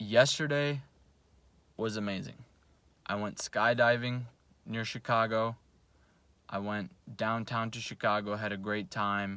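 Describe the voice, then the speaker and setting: A man with a fairly low pitch speaks in a bright, sharp tone and a fairly even intonation, leaving long, frequent pauses, on a very clean recording with a silent background. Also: fairly slow pace. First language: Russian. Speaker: salesperson and self-improvement vlogger. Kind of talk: motivational vlog monologue.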